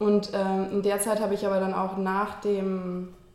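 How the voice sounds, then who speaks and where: With noticeable background noise and audible room echo, a woman speaks at a moderate pace in a medium pitch and a monotone, flat intonation. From Germany, raised largely in London. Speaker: screenwriter. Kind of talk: interview. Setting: her kitchen.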